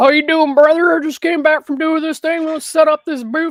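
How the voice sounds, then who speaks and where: A loud, high-pitched put-on character voice, monotone and flat in intonation, with a dry, close sound and no echo. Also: fairly quick pace. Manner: overly friendly, brash.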